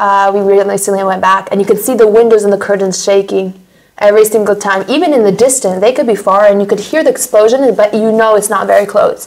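Against a quiet background, a woman with an American accent talks at a fairly quick pace with fairly even intonation. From United States. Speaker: war survivor; interviewee. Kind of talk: interview testimony. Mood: earnest, recalling hard memories. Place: studio.

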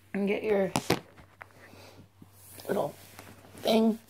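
Through noticeable background noise, a woman speaks at medium pitch in a monotone, flat intonation. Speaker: beekeeper. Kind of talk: casual talk to camera.

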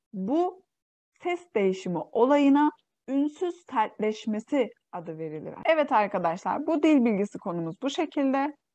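Against a quiet background, a woman with a Xinjiang accent talks at a fairly slow pace in a high pitch with very wide pitch swings. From East Turkistan (Xinjiang), Uyghur. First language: Uyghur (speaking Turkish). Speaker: Turkish language teacher. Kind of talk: online language lesson.

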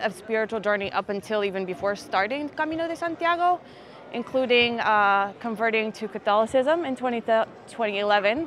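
A woman with a fairly high voice and lively intonation speaks over light background noise, the sound dry with no echo. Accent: Philadelphia. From US Northeast. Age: 40s. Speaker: pilgrim. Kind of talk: interview. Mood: reflective, warm. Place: street. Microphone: lapel.

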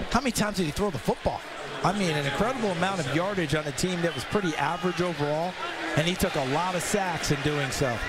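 Speaking at a very fast pace, a man keeps his loudness very even and his pitch high, with ordinary variation. Noticeable background noise can be heard. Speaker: football color commentator. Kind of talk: live commentary. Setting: stadium broadcast booth.

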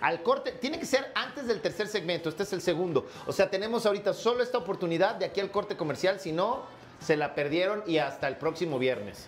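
A man talks at a high pitch with lively intonation. His pace is fairly quick, with few pauses.

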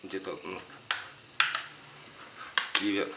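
A man speaks at a fairly slow pace. Loud background noise is present. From Ukraine. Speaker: unboxing vlogger. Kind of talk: casual unboxing talk to camera.

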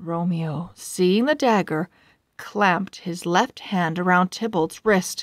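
Against a quiet background, the voice reads naturally with ordinary pitch variation.

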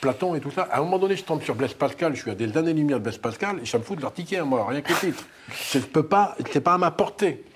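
Speech runs at a very fast clip with lively intonation over light background noise. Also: man, fairly high pitch for a man. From northern France. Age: 50s. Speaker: former prisoner and author; interview guest. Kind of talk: testimony. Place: studio. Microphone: lapel.

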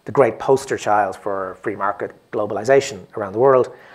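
A man with an Irish accent. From Ireland. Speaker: drama critic and columnist; guest. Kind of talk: onstage panel conversation. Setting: stage with audience. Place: stage.

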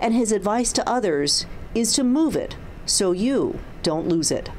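A woman speaks fairly slowly at a fairly high pitch, with very wide pitch swings. Her loudness stays very even over noticeable background noise. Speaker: TV news reporter. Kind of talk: TV news report.

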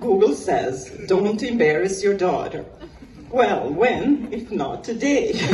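A woman's fairly high, playful voice at a very slow pace, with very wide pitch swings, audible room echo and light background noise. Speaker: mother of the bride giving a toast. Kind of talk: rhyming comic wedding toast, gently roasting the bride. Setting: destination wedding reception with guests laughing. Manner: playful, teasing delivery, pausing for laughs between rhymed lines; warm and sentimental when addressing her daughter. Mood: humorous, teasing. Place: garden. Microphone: camera far.

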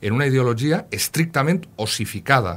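A somewhat breathy voice moves at a fairly slow pace with very wide pitch swings. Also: man. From Castelló, Valencian Country; Valencian Country. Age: 40s. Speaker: historian, university professor; university professor. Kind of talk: radio interview. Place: studio.

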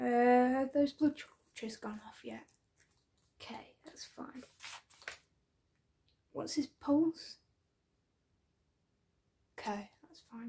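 A soft-spoken woman's high voice, dark and mellow in tone and relaxed, at a very slow pace with long, frequent pauses, ordinary pitch variation and big swings in loudness. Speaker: ASMR creator playing an ICU doctor. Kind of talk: ASMR medical roleplay. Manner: soft-spoken, relaxed. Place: home room. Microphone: phone near.

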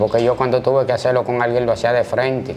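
With light background noise behind him, a man speaks in monotone, flat intonation. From Dominican Republic, Santo Domingo (Gualey); Dominican Republic. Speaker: former prison inmate and street figure; interview guest. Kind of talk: interview testimony. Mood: firm, self-assured.

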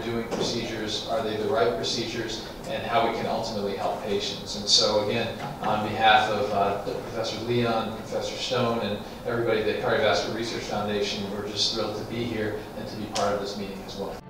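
Strong room echo and noticeable background noise surround the recording. A man talks at a fairly quick pace in a monotone, flat intonation. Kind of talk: press conference remarks. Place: meeting room.

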